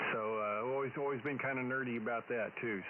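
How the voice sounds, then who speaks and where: In a Texan accent, a man talks with ordinary pitch variation. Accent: Texan country drawl. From Texas. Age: old. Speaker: ham radio operator. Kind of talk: amateur radio contact. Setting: radio contact. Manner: hesitant, many fillers.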